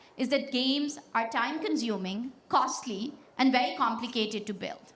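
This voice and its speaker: Against audible room echo, a woman speaks in a high pitch with lively intonation. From Pakistan. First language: Pashto. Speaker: tech startup founder. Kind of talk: keynote speech. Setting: stage with audience. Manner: energetic, confident.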